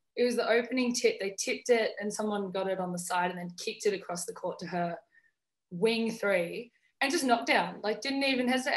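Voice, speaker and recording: Against a quiet background, a woman with a high pitch and a bright, sharp tone speaks at a moderate pace. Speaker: guest. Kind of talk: interview answer. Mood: cheerful, laughing. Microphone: video call.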